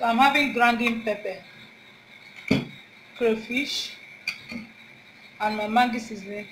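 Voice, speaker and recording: Moderate-paced speech from a woman amid noticeable background noise. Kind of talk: cooking tutorial. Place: kitchen.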